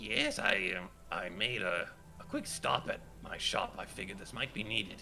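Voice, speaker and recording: Over clear background noise, a man puts on a character voice at a medium pitch. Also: moderate pace. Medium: actual play. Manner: gentle, hesitant.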